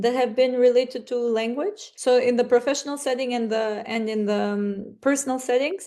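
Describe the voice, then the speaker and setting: With an Albanian accent, a woman speaks at a moderate pace in a dark, mellow tone and fairly even intonation against a quiet background. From North Macedonia, Struga (Albanian community). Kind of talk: podcast interview.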